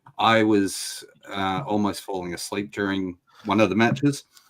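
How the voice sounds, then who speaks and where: Speaking with an Australian accent, a man uses a fairly low pitch, fairly even intonation and a fairly slow pace. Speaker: wrestling podcast host. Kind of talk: casual chat.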